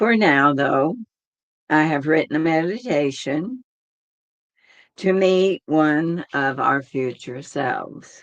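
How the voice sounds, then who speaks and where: Very slowly, a woman speaks in a very deep, low voice with lively intonation. Long, frequent pauses break up her speech. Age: 80s+. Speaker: meditation teacher. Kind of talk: casual talk before guided meditation; guided meditation.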